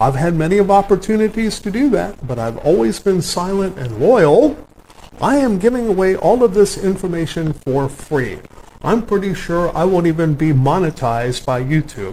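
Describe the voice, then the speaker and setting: Noticeable background noise surrounds a man with an American accent. His pitch is high and swings very widely. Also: moderate pace. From US South. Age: 60s. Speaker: autobiographical narrator. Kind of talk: personal monologue. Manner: halting, with frequent fillers.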